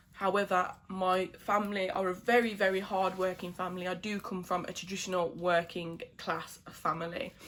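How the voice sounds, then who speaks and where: Monotone, flat delivery in a British accent. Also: woman, medium pitch for a woman, moderate pace. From England. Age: 20s. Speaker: beauty vlogger. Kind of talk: casual chat. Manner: casual, many fillers.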